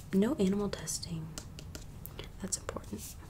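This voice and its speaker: Over noticeable background noise, a soft-spoken woman talks in a gentle tone. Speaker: vlogger. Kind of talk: casual vlog chat. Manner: soft-spoken, gentle and hushed. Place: home room. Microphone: phone near.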